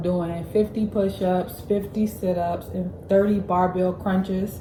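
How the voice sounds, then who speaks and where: Over noticeable background noise, a woman speaks at a medium pitch in a monotone, flat way. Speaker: medical student vlogger. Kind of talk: casual vlog. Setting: at home, morning.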